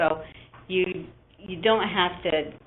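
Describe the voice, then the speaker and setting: A woman speaks in a fairly low voice over noticeable background noise. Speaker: application scientist manager. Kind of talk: webinar presentation. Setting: online webinar.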